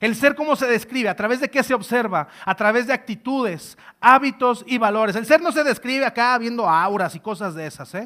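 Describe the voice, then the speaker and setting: Raised and projected, a man's extremely high voice sounds bright, sharp and animated, with lively intonation at a fairly quick pace on a very clean recording with a silent background. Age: 20s. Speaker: trainer. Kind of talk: lecture.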